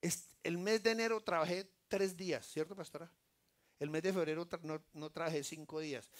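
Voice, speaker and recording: An animated, high-pitched male voice at a moderate pace. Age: 60s. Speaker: lay preacher. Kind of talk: sermon.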